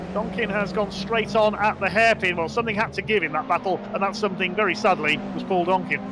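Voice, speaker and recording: A man with a West Midlands accent, high in pitch, at a fairly quick pace, with noticeable background noise. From West Midlands, England. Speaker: sim racing commentator. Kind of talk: live commentary. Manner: animated.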